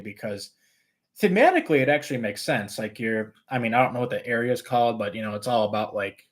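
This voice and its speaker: A man's medium-pitched voice at a very fast pace, with lively intonation. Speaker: roller coaster YouTuber. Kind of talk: live stream Q&A. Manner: casual, filler-heavy.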